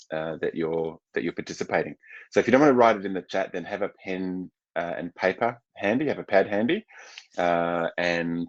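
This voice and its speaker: A man with an Australian accent is heard in a dry, close sound with no echo. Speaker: psychological coach and psychotherapist. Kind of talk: webinar presentation. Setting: online webinar, seated. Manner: fast; halting, many fillers and repetitions.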